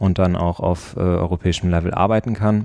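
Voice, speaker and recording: This man's voice sits very deep and low. It has a dark, mellow tone. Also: very clean recording, silent background. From Rhineland, Germany (Neuss near Düsseldorf). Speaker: junior lawyer. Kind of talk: interview. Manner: hesitant with fillers.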